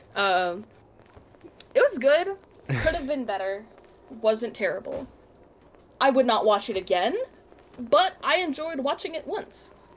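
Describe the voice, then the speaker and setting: Speaking slowly with long, frequent pauses, a woman with an American accent uses a high voice and very wide pitch swings over noticeable background noise. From US South, Alabama. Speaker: gaming streamer. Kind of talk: casual chat.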